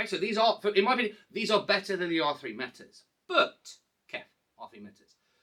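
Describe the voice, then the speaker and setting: The voice is raised and projected. It carries an English accent. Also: man. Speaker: hi-fi reviewer. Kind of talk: product review. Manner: fast; halting.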